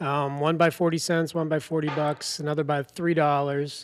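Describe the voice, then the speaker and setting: Flat, monotone delivery from a man with a Boston accent at a moderate pace, in a very clean recording with a silent background. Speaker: sports betting podcast co-host. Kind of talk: casual podcast chat.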